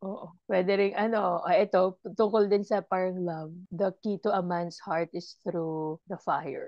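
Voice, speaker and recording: A woman speaks at medium pitch and a fairly slow pace with fairly even intonation and hardly any pauses. Her loudness swings widely, over a quiet background in a dry sound with no echo. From Philippines. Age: 40s. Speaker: podcast co-host. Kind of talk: casual chat. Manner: laughs often. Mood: playful, laughing. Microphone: earbuds.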